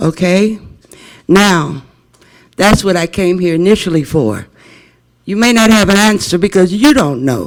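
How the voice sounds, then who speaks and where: High-pitched male voice in an American accent, lively intonation, fairly slow pace and long, frequent pauses. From Las Vegas, Nevada. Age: 70s. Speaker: public commenter, voucher holder. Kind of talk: public comment at board meeting. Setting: public board meeting. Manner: emphatic, rhetorical questions.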